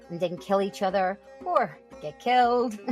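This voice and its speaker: A woman's voice with lively intonation over music in the background. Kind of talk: comedic storytelling podcast. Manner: humorous, conversational.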